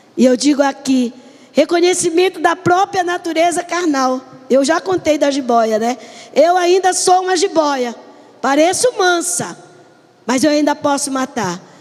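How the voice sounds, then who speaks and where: A woman speaks at a fairly slow pace in a high voice, her intonation lively and her tone animated, with noticeable background noise behind her. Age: 70s. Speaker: pastor. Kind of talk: sermon. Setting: church, live stream. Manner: animated storytelling.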